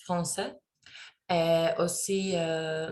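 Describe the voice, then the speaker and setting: With a non-native accent, a woman talks at a fairly low pitch in a monotone, flat intonation. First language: not French (speaking French). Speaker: French learner, student. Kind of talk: class oral presentation. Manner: halting, many hesitations.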